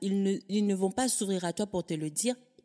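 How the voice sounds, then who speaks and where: At a moderate pace, a woman speaks in a medium-pitched, dark, mellow tone, recorded dry and close with no echo. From Africa. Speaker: podcaster, organization coach. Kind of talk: casual interview conversation. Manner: enthusiastic.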